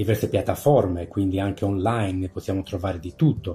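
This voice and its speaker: Music plays in the background as a man speaks. His pitch is fairly low and his intonation fairly even. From Sardinia, Italy (born in Canada, moved at ten). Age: 50s. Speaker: paranormal YouTuber. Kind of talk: interview. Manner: hesitant, many fillers.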